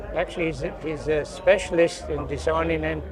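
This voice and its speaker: At a moderate pace, a man with a Newfoundland accent talks over noticeable background noise. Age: 80s+. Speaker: construction industry veteran. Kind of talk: interview.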